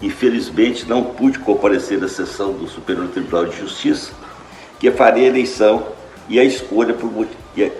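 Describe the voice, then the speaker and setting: A man is speaking. Music plays in the background, and the room echo is audible. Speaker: retired judge. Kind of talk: testimony.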